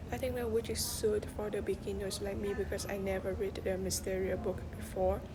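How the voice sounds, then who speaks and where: Audible room echo and noticeable background noise surround a woman's voice. She speaks at a fairly quick pace with hardly any pauses. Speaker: student giving a book review. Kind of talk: book review presentation. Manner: halting, frequent fillers and repetitions.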